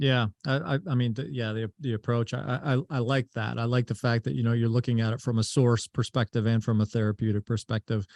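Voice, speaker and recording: An unremarkable speaking voice, a man's at medium pitch, runs at a fairly quick pace with hardly any pauses and ordinary pitch variation, dry and close with no echo. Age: 40s. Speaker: podcast host. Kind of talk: interview.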